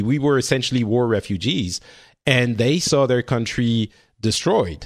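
A man with a French accent speaks at a moderate pace and a medium pitch, with ordinary pitch variation and very even loudness. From France. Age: 40s. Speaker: podcast host. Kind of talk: casual chat. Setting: video call.

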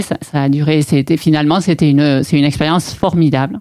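A woman speaks with a very deep, low pitch and ordinary pitch variation. Her pace is fairly quick. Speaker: property developer. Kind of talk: interview. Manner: hesitant, many fillers and repetitions.

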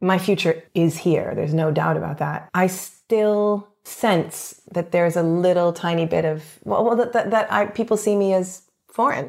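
With a Canadian accent, a woman talks in a plain, everyday voice at medium pitch and moderate pace, her pitch varying normally and her loudness very even. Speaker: actor. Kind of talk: casual interview chat. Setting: home.

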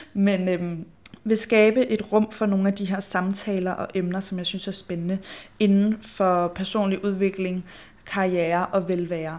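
Slow-paced and flat, a woman speaks in a monotone at a medium pitch. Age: 20s. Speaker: podcast host and influencer. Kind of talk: solo casual monologue.

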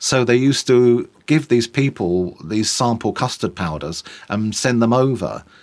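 A man with a London accent at medium pitch, at a fairly slow pace. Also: ordinary pitch variation. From East London. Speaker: tour guide. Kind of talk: casual chat.

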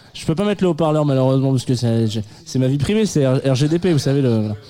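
Noticeable background noise runs under the recording. A man talks at a fairly quick pace. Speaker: radio host. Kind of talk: live radio show chat with music presentation. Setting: studio with live audience, also streamed on video. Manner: halting, many repetitions.

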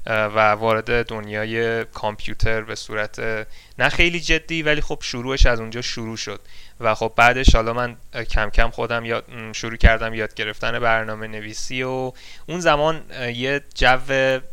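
Bright and sharp in tone, a man speaks at a medium pitch and moderate pace with fairly even intonation. His loudness swings widely. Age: 20s. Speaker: software engineer. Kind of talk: interview. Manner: halting.

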